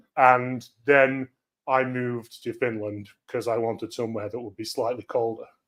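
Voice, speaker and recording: With a British accent, the speaker keeps a monotone, flat intonation at a moderate pace while the loudness swings widely. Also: man, medium pitch for a man. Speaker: cybersecurity speaker. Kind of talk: conference talk.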